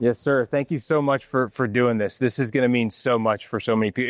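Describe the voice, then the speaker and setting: Talking at a fairly quick pace, a man with a medium-pitched voice, a normal speaking voice, uses ordinary pitch variation, the sound dry and close with no echo over a quiet background. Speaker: podcast host. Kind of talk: podcast interview questions.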